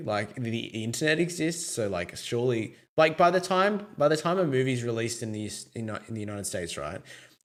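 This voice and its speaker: A man with an Australian accent and very wide pitch swings. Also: very clean recording, silent background. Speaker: podcast host. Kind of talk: casual chat.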